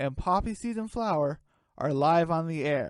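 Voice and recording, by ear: Lively intonation marks this woman's speech. Her pitch is low and her pace moderate.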